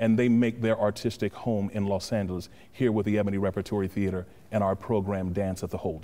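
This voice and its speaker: A man's fairly low, monotone voice with flat intonation at a very fast pace. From Los Angeles. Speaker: actor, producer and director. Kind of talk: interview answer. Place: stage. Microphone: lapel.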